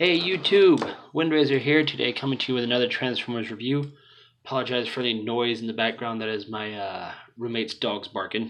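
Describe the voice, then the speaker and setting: Medium pitch from a male speaker, with pitch that varies an ordinary amount. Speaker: toy reviewer. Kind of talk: product review. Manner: unenthusiastic.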